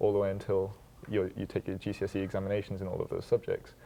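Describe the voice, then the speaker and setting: This man has a British accent. He talks at a very fast pace. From UK and Brunei. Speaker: college student and basketball player. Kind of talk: panel discussion.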